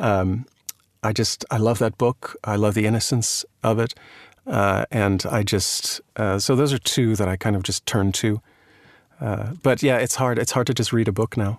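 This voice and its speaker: The recording is dry and close with no echo, against a quiet background. A man speaks at a moderate pace and medium pitch, his intonation fairly even. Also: very even loudness. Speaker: actor and audiobook narrator. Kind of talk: casual interview.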